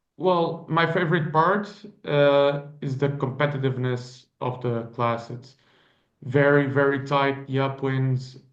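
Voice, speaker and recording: A man with a fairly high voice speaks at a fairly slow pace and with fairly even intonation. Room echo is audible. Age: 20s. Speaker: sailor. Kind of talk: interview.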